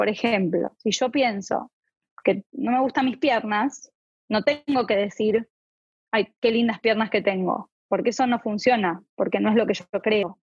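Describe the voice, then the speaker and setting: At a fairly slow pace, a woman speaks with fairly high pitch, ordinary pitch variation and a somewhat breathy quality. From Argentina. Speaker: clinical psychologist. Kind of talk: interview.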